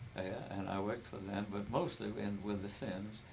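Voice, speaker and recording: Noticeable background noise and audible room echo surround a man's voice. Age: 80s+. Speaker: family elder telling his life story. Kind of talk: oral history interview. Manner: halting.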